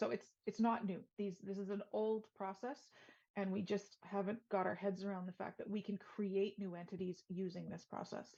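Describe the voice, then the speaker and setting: In a Canadian accent, a woman speaks in a somewhat breathy, dark, mellow tone with monotone, flat intonation. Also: medium pitch for a woman. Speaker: sustainability consultant. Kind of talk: webinar presentation. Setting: virtual event. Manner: fast.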